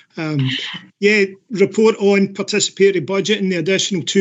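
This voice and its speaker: A man's high voice in a Scottish accent, at a fairly quick pace with fairly even intonation. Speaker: council officer presenting a report. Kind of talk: report presentation at council meeting.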